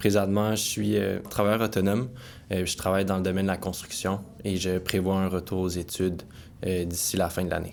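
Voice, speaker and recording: This man talks at a fairly quick pace in a very deep, low voice with monotone, flat intonation. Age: 20s. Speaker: recovering alcoholic. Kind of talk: testimony. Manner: hesitant.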